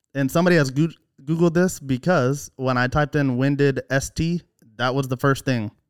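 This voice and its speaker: In an American accent, a man with an ordinary speaking voice talks at a fairly quick pace and fairly high pitch, with ordinary pitch variation, very even loudness, and a dry, close sound with no echo. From Oklahoma. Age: 20s. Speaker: podcast listener, guest. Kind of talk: casual chat. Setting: man cave at home.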